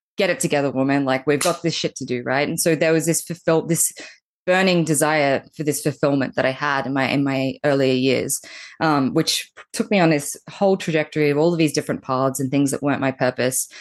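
A woman with an Australian accent, very deep and low in pitch, fairly quick, with ordinary pitch variation, very even loudness and a quiet background. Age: 30s. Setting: video call.

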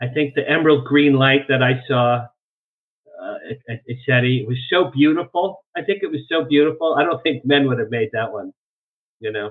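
This man has an ordinary speaking voice, pitched fairly high, with ordinary pitch variation at a moderate pace. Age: 60s. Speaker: UFO researcher and publicist. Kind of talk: interview. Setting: video call.

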